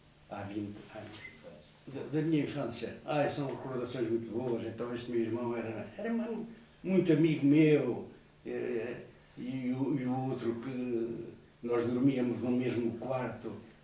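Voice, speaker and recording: A man at medium pitch with ordinary pitch variation, at a fairly slow pace, with audible room echo and noticeable background noise. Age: 70s. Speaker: retired labour inspector and former primary teacher. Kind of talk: interview, life memories. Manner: halting, with fillers and repetitions.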